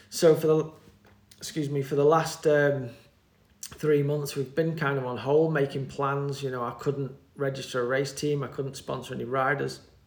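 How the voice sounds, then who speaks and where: The speaker has a British accent and a moderate pace. The intonation is monotone and flat. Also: man, fairly high pitch for a man. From UK. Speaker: mountain bike team manager. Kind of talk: interview. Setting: in person.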